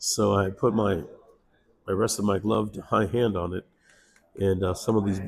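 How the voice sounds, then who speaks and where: A somewhat breathy voice in a flat monotone at a moderate pace. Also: man. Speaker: comic book inker. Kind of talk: tutorial. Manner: casual, hesitant with fillers.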